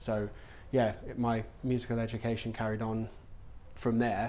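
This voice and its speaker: Audible room echo around a man's fairly low-pitched voice, delivered at a moderate pace. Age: 30s. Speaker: music company founder working in sync and composition. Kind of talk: casual interview chat. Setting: office.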